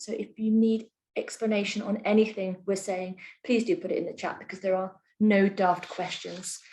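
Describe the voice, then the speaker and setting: A woman talks at a moderate pace with a somewhat breathy, dark, mellow tone. Her intonation stays fairly even. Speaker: community energy project manager. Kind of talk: webinar presentation. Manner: soft-spoken. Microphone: too quiet.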